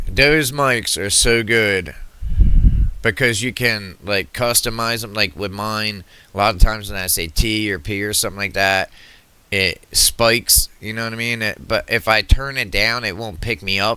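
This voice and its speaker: Ordinary pitch variation and a moderate pace, with an American accent. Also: man, fairly low pitch for a man. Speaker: political commentator reacting to videos. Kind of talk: reaction video commentary. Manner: loud, projecting to reach the mic; animated.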